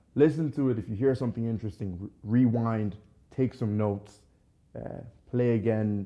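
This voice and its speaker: A man with an unremarkable speaking voice, fairly low in pitch, fairly even in intonation, at a fairly quick pace. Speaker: podcast host. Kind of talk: casual interview chat.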